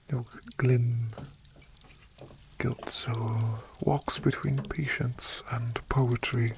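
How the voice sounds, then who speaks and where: Soft-spoken delivery at a very slow pace, with noticeable background noise. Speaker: narrator of fiction audio. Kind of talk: soft-spoken ambience reading of old-fashioned love letters. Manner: soft-spoken, tender.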